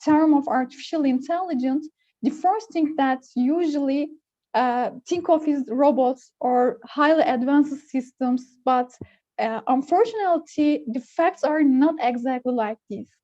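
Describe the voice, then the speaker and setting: A woman with a Turkish accent speaks at a fairly slow pace in a high pitch with a dark, mellow tone. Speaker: computer engineer. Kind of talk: technical presentation. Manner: halting, many fillers.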